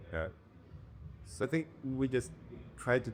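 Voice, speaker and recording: Vocal fry marks this man's speech, delivered at a fairly slow pace. His pitch swings very widely. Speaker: music producer. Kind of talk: interview answer.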